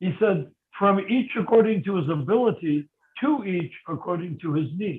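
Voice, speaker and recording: At a moderate pace, a man with an American accent speaks in a high pitch with lively intonation. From United States. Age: 70s. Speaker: religious teacher. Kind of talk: question and answer talk.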